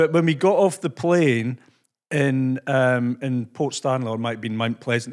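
Someone with a Scottish accent speaks at a moderate pace with ordinary pitch variation. The recording is very clean and the background silent. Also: man. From Scotland. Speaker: podcast host. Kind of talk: casual interview chat.

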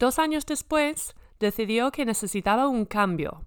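A woman speaks at a fairly slow pace in an English accent, her fairly high pitch carried by lively intonation on a very clean recording with a silent background. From US Midwest, Minnesota. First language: English (speaking Spanish). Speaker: podcast host, former basketball player. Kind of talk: scripted narration; interview. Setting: on location in a sports venue.

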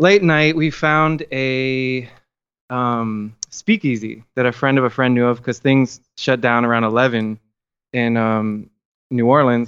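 Using an unremarkable speaking voice, a man with an American accent talks at a fairly slow pace, medium in pitch, with ordinary pitch variation. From Miami, Florida. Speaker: filmmaker guest. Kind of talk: casual interview.

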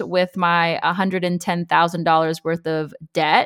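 Recorded very cleanly with a silent background and a dry, close sound with no echo, a woman speaks at a medium pitch with an American accent. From US West Coast, Los Angeles. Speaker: personal finance content creator. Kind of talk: interview.

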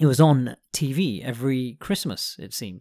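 A man with a British accent on a very clean recording with a silent background. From UK. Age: 40s. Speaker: podcast host. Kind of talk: casual monologue.

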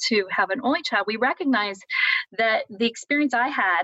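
At a moderate pace, a woman with an American accent speaks in a bright, sharp tone with ordinary pitch variation. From US Midwest, Columbus, Ohio. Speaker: education professor. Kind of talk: interview.

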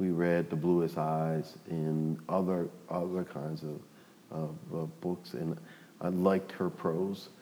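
In an American accent, a man speaks very slowly in a very deep, low voice with monotone, flat intonation. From New Orleans, US South. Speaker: professor and author. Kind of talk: casual interview.

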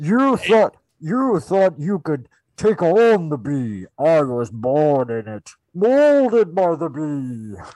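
A man's put-on character voice, fairly high, with very wide pitch swings, at a very slow pace against a quiet background. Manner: menacing, theatrical.

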